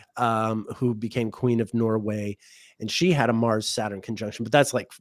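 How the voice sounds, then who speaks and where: A man with an American accent talks at a moderate pace and a medium pitch. The recording is very clean, with a silent background. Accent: more American-sounding than co-host. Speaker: astrologer, livestream co-host. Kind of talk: casual chat. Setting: livestream.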